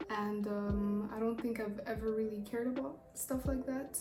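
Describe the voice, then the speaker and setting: A woman with a Rwandan accent talks at a fairly high pitch with ordinary pitch variation. Music plays in the background, and there is audible room echo. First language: Kinyarwanda. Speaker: YouTuber. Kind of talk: casual chat. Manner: rambling, fast.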